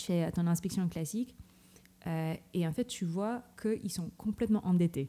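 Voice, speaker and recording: A somewhat breathy voice with a dark, mellow tone, a non-native accent, and ordinary pitch variation carries through the clip. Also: woman. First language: not French (speaking French). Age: 30s. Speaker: tech programme director. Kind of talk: interview. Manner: halting.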